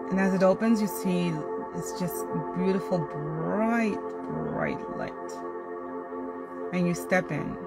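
Loud music plays in the background as the speaker goes at a very slow pace. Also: woman. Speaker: guided meditation host. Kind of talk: guided meditation. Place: car. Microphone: phone near.

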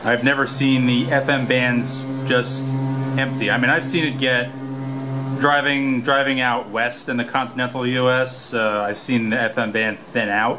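Faint music plays in the background as a man speaks fairly slowly in a monotone, flat voice. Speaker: radio hobbyist. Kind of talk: casual vlog chat. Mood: amazed, quiet. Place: boat. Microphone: phone near.

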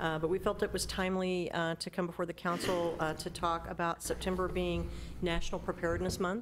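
A woman talks at a fairly quick pace, with noticeable noise in the background. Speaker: presenter. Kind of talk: meeting report. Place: hall. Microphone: podium.

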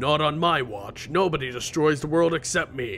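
A man puts on a character voice at a fairly high pitch, speaking at a moderate pace over clear music in the background. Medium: game stream. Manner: smug, sarcastic.

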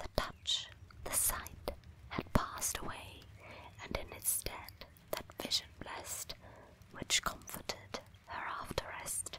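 A whispered voice moves at a very slow pace with long, frequent pauses over noticeable background noise. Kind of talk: poetry reading; ASMR.

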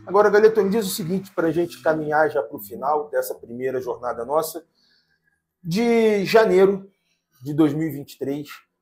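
With light background noise behind him, a man speaks at a moderate pace with lively intonation in a normal speaking voice. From Brazil. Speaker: podcast host. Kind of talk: casual podcast chat. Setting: cafe, recording on location. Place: studio. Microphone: lapel.

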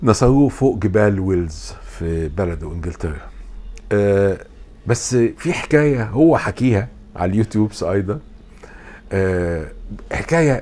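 A dark, mellow tone with lively intonation, at a fairly slow pace with long, frequent pauses. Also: man, fairly low pitch for a man. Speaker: philosophy lecturer. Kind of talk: lecture.

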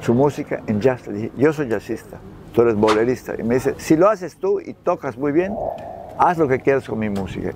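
Noticeable background noise sits under a dry sound with no echo. A man speaks fairly quickly with lively intonation. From Yucatán, Mexico. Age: 80s+. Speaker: nautical businessman and jazz musician. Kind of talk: interview answer. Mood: warm, proud storytelling. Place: waterside. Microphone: lapel.

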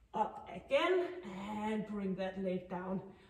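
A woman talks at a fairly slow pace, and audible room echo hangs around her words. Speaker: fitness instructor. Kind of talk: workout instruction. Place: gym.

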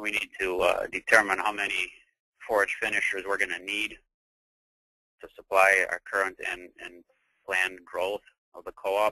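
A man speaks at a moderate pace with big swings in loudness and long, frequent pauses, in a dry, close sound with no echo. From Wisconsin, US. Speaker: cattle farmer. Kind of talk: webinar presentation.

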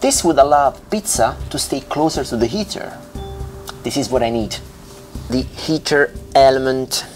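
A man with a strong Italian accent speaks in an upbeat tone at a moderate pace, with ordinary pitch variation and long, frequent pauses. Faint music plays in the background. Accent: thick Italian. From Italy. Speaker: pizza maker. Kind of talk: casual talk to camera.

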